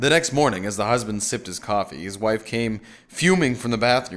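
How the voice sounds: The voice reads naturally. Its pitch moves up and down an ordinary amount.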